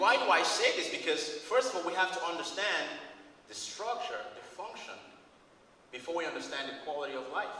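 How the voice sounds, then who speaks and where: With a Cameroonian accent and a high pitch, a man speaks at a fairly quick pace with lively intonation and long, frequent pauses, amid noticeable background noise and audible room echo. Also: big swings in loudness. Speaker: chiropractic student. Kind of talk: competition speech. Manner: animated.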